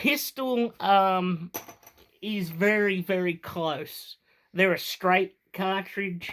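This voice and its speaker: In a very clean recording with a silent background, a high-pitched man with an Australian accent speaks at a very slow pace with ordinary pitch variation. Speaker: firearms hobbyist vlogger. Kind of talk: tutorial. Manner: casual, hesitant with fillers.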